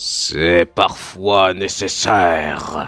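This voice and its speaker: Faint music plays behind a man doing a put-on character voice, very deep and low in pitch, delivered at a very slow pace. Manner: earnest and hesitant in the confession, bitter and bold later.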